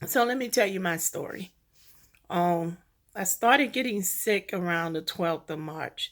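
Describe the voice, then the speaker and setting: On a very clean recording with a silent background, a woman at a medium pitch speaks with lively intonation. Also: fairly slow pace. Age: 60s. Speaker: covid survivor telling her story. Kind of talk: personal testimony. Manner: halting.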